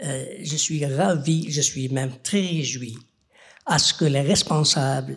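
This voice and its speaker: A man with a fairly high voice speaks at a very slow pace, his pitch varying in an ordinary way and his tone somewhat breathy. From Algeria. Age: 70s. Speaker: audience member. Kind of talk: audience question.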